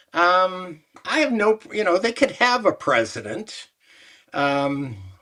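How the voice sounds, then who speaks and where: Speaking very slowly in a raised, projected voice, a man with a Canadian accent uses a high pitch, a bright, sharp tone and very wide pitch swings. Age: 70s. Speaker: former sports executive. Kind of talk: interview. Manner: halting.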